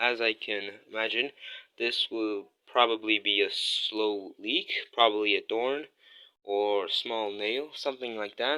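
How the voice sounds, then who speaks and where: A man's medium-pitched voice with a bright, sharp tone and a non-native accent, fairly slow in pace, on a very clean recording with a silent background. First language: not English. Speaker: DIY video creator. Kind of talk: tutorial. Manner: casual, hesitant with fillers.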